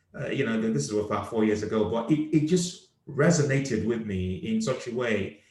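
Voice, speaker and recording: Somewhat breathy and with lively intonation, a man speaks with hardly any pauses. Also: medium pitch for a man, moderate pace. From Nigeria. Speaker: comedian and podcast host. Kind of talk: casual chat. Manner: animated.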